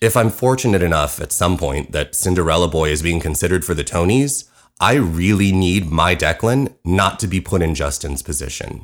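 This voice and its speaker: With a very deep, low pitch, this man speaks with lively intonation and hardly any pauses. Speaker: musical writer and podcast host. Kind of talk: scripted narration, personal storytelling. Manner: talks too fast.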